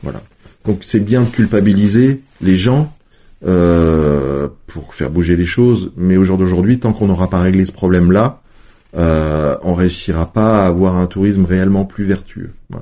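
A man speaks fairly slowly in a very deep, low voice with a dark, mellow tone. His pitch varies in an ordinary way. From France, Savoie (Chambéry area). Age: 40s. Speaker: tourism agency director. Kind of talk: interview.

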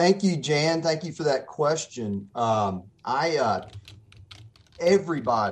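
A Mississippi accent with lively intonation at a fairly slow pace. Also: man. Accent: Mississippi Southern US. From Mississippi, Gulf Coast (Pascagoula). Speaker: attorney. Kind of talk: radio interview.

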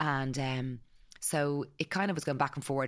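A woman with an Irish accent at a fairly quick pace, on a very clean recording with a silent background. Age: 40s. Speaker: clothing brand founder. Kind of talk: casual interview.

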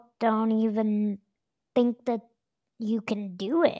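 Speaking very slowly, a woman with an American accent has a fairly high pitch. The recording is very clean and dry, close-sounding with a silent background and no echo. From Denver, Colorado. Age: 30s. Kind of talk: casual interview chat.

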